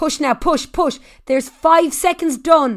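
On a very clean recording with a silent background, a woman with an Irish accent speaks at a fairly slow pace in an energetic tone, her pitch extremely high with ordinary variation. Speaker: fitness instructor. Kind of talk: high-intensity Tabata interval coaching with shouted countdowns. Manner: loud, cheerleading, profane and energetic.

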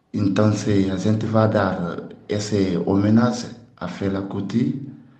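A man's fairly low-pitched, monotone voice with flat intonation and a dark, mellow tone, plus audible room echo. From Guinea (Conakry). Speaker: percussionist. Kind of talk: event invitation.

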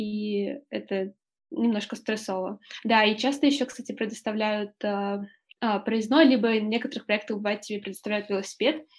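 With a plain, everyday voice, a woman speaks at a moderate pace in a fairly high pitch and fairly even intonation. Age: 20s. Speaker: journalist and volunteer. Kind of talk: casual interview.

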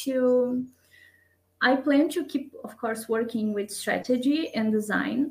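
A woman speaks at a fairly slow pace with a Portuguese accent. Her pitch is high and her intonation fairly even. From Brazil. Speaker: designer and strategist. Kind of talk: interview.

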